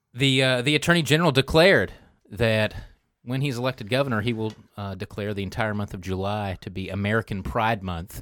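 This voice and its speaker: With a very clean recording and silent background, a man has an unremarkable speaking voice, fairly low in pitch with ordinary pitch variation, at a fairly quick pace. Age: 40s. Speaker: political panelist. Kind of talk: casual political roundtable chat. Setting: studio roundtable.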